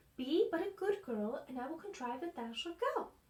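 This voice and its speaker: A woman uses a put-on character voice at an extremely high pitch. Her pitch swings very widely at a moderate pace. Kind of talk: old-fashioned storybook speech. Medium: read story. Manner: warm, gentle.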